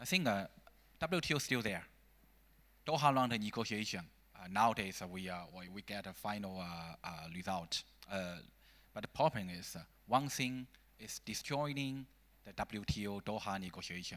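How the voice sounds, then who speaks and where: Speaking with a Chinese accent at a moderate pace, a man with a fairly low pitch uses lively intonation, big swings in loudness and long, frequent pauses on a very clean recording with a silent background. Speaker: think tank scholar. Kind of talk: panel discussion. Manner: halting.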